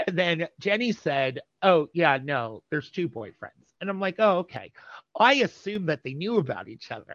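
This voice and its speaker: Talking at a moderate pace, a man with an American accent uses a high pitch with very wide pitch swings and big swings in loudness. The sound is dry and close, with no echo. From New Jersey. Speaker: interview guest sharing community history. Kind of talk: casual interview.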